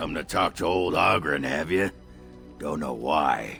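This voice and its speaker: A raspy, put-on character voice from a man, with clear music in the background. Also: moderate pace. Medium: video game. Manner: gruff, crude, blustering.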